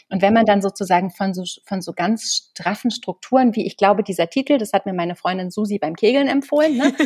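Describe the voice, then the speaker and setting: A woman with a somewhat breathy voice and a medium pitch speaks at a fairly quick pace with hardly any pauses and ordinary pitch variation. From East Germany, small village. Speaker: bookseller and literary presenter. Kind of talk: casual interview.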